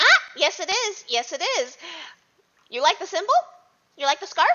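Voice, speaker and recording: Putting on a squeaky character voice, a woman talks at a moderate pace, her extremely high pitch swinging very widely. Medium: actual play. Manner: conspiratorial.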